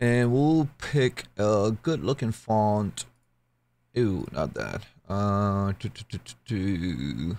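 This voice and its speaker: At a very slow pace, a man with a fairly low pitch speaks using lively intonation. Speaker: 3D printing hobbyist YouTuber. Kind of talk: tutorial. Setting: screen recording with voiceover. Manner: casual, chatty. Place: home room. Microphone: studio mic.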